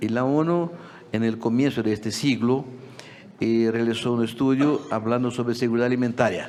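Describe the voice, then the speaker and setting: A man with a Portuguese accent speaks at a medium pitch and moderate pace, with fairly even intonation, very even loudness and audible room echo. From Brazil. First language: Portuguese (speaking Spanish). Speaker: agricultural policy expert. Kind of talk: conference talk. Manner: halting.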